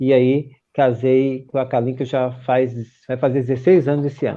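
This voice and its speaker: A man speaks with a northeastern Brazilian accent. His delivery is monotone and flat at a moderate pace. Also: medium pitch for a man. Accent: northeastern Brazilian, Pernambuco. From Pernambuco, Recife. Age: 50s. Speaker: pastor. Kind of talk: interview. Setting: live stream.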